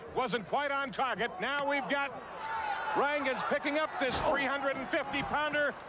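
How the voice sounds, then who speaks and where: A man speaks in a raised, projected voice, the sound dry with no echo, over loud background noise. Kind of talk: live wrestling commentary. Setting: arena broadcast. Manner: animated, rapid play-by-play calling.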